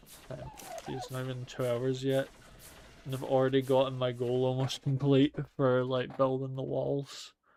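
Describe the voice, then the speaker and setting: Noticeable background noise surrounds a man's voice. He speaks at medium pitch in a monotone, flat way. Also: moderate pace. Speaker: gaming streamer. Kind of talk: let's play commentary. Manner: slurred, sounds drunk. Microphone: mic software issues.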